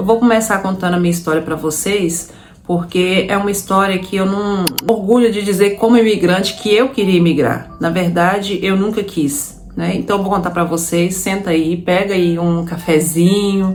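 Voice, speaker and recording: With a Minas Gerais accent, a woman speaks at a medium pitch and a moderate pace, her intonation fairly even. Music plays in the background, and room echo is audible. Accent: Brazilian Portuguese, Minas Gerais (mineiro). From Brazil, Minas Gerais. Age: 30s. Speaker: immigrant vlogger. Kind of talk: personal story to camera. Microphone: no proper microphone, audio may be poor.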